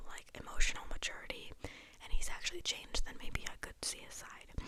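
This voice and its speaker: Over noticeable background noise, a whisper runs along at a fairly quick pace. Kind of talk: casual chatty discussion of a TV show, direct to the viewer. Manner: talking fairly fast, enthusiastic, rambling.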